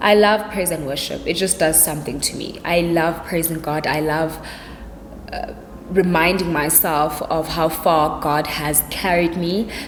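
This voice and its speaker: Her pitch is fairly low, and the woman speaks at a fairly slow pace. Audible room echo and noticeable background noise surround her voice. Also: fairly even intonation. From South Africa, Cape Town. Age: 20s. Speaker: YouTuber. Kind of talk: casual vlog Q&A. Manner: chatty, relaxed.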